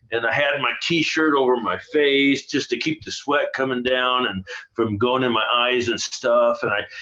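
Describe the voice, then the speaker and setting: Amid noticeable background noise, a man talks at a moderate pace with a medium pitch and fairly even intonation. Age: 70s. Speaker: band drummer. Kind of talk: casual chat.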